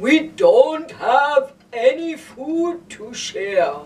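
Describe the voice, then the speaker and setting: In a cartoonish character voice, a man speaks at an extremely high pitch and a very slow pace. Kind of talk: children's puppet show.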